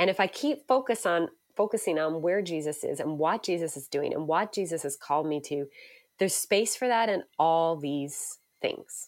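A woman's fairly low voice with lively intonation at a moderate pace, on a very clean recording with a silent background. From Canada, Newfoundland. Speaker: pastor. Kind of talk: interview.

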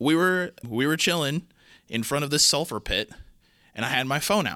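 A bright, sharp voice with lively intonation at a moderate pace, in a very clean recording over a silent background. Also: man. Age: 20s. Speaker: podcast co-host. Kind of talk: casual chat. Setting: studio. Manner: animated.

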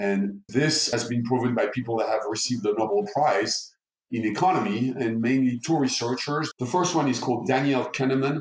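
A man speaks at a moderate pace in a normal speaking voice. His medium pitch shows ordinary pitch variation, and his loudness stays very even. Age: 60s. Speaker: neuromarketing expert. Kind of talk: interview.

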